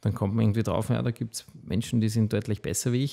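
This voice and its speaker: Against a quiet background, the voice has a dark, mellow tone and fairly even intonation. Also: man. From Austria, Waldviertel (Lower Austria); Lower Austria. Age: 40s. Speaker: food company founder; podcast guest. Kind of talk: interview. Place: studio. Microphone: studio mic.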